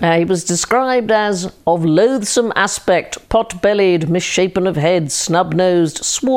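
Pitch shifts in an ordinary way through this unforced reading voice.

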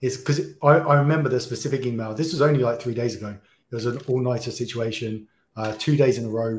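At a very fast pace, a man with a British accent speaks in a somewhat breathy voice of medium pitch with ordinary pitch variation. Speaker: podcast host. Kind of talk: interview.

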